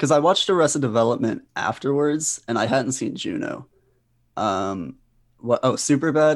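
A man's fairly high voice with vocal fry and lively intonation, at a moderate pace against a quiet background. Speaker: comedian and writer. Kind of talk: casual chat.

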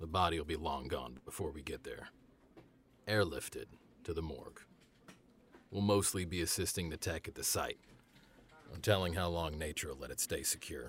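Putting on a character voice, a man growls in a raspy, very deep, low pitch at a moderate pace with ordinary pitch variation, in a very clean recording with a silent background. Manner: laconic, wry, concerned.

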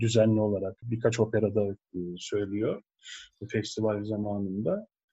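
The speaker is a man with a medium pitch. He talks very slowly. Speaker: opera tenor. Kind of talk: casual interview.

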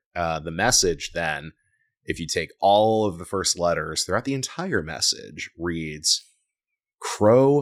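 This man's voice is very deep and low, and its pitch varies in an ordinary way. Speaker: video game podcaster. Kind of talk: casual chat. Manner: animated.

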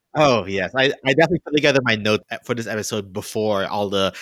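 With an American accent, a man speaks at a very fast pace in a fairly low pitch with ordinary pitch variation, in a dry, close sound with no echo on a very clean recording with a silent background. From US South. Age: 30s. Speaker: podcast host. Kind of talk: casual chat.

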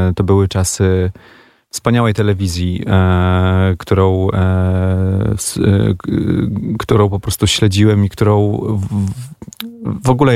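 Through noticeable background noise, a man speaks at a very deep, low pitch with fairly even intonation. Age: 40s. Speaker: musician. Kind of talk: radio interview. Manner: halting.

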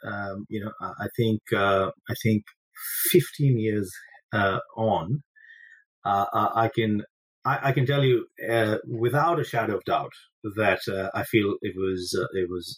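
A somewhat breathy man at a fairly slow pace with long, frequent pauses, in a dry, close sound with no echo. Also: ordinary pitch variation. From India. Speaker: finance executive, former tennis player. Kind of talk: interview. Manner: halting, many fillers.

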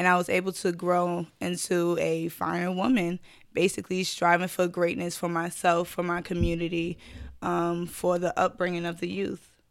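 A woman speaks at a fairly low pitch in a New York accent, her intonation flat and monotone. The recording is very clean, with a silent background. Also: moderate pace. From Brooklyn, New York. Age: 20s. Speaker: schoolteacher and sorority member. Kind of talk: casual chat.

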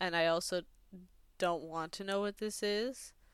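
Recorded very cleanly against a silent background, a plain, everyday voice speaks with fairly even intonation. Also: woman. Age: 20s. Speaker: podcast co-host. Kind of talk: casual chat.

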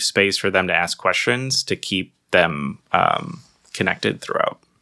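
A man speaks with a bright, sharp tone at fairly low pitch. His pace is fairly slow. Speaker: podcast co-host. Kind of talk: casual chat. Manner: conversational, animated.

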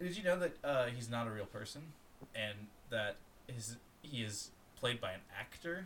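A man speaks at a moderate pace with an American accent and a medium pitch. His speech has long, frequent pauses. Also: lively intonation. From Florida, US. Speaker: podcast co-host. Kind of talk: casual chat.

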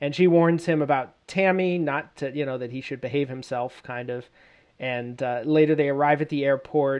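A man's plain, everyday voice at a fairly high pitch, moderate pace and fairly even intonation. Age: 30s. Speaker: podcast host. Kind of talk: solo episode commentary on a TV series.

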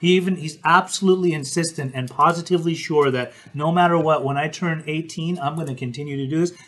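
A man speaks quickly enough in an unremarkable speaking voice, his fairly high pitch held in a fairly even intonation. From Utah, Salt Lake City. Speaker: podcast host, interventionist. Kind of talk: casual chat. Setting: live stream.

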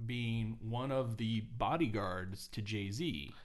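Delivered at a fairly slow pace, this is a normal speaking voice with lively intonation. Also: man. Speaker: co-host. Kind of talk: casual chat, podcast.

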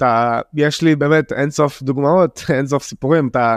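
A man talks against a quiet background. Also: dry, close sound with no echo. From Israel, Jaffa. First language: Arabic (speaking Hebrew). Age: 20s. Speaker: young spoken word poet. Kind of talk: casual interview.

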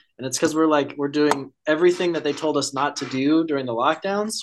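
Over a quiet background, a man with a fairly high pitch talks at a fairly quick pace and ordinary pitch variation. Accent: American. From Colorado. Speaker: bodybuilder and personal trainer. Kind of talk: casual chat.

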